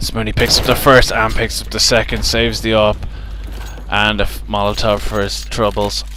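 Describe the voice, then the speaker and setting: At a medium pace, a man talks in a space with audible room echo and noticeable background noise. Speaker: esports caster. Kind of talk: live commentary. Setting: at venue near players.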